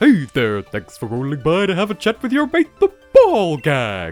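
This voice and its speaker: In a put-on character voice at a middle pitch, the speaker performs over faint music in the background. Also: moderate pace. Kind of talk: casual, mate-style greeting. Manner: chatty, cheerful greeting.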